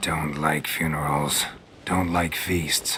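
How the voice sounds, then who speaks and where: A man puts on a character voice that is very deep and raspy, with flat, monotone intonation. He talks at a very slow pace over clear background noise. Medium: video game. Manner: terse, dry.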